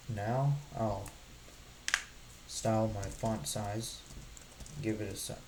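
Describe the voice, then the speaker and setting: A man's fairly low voice at a very slow pace, with ordinary pitch variation, long, frequent pauses, audible room echo and noticeable background noise. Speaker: coding tutorial creator. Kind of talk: tutorial.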